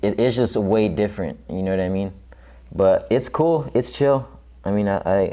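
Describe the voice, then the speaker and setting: A man talks at a moderate pace with a fairly low pitch. He has an unremarkable speaking voice. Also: lively intonation. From Southern California (La Puente), then Kingman, Arizona. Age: 20s. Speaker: rapper and tattoo artist. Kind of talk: casual interview chat. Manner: relaxed, casual with fillers.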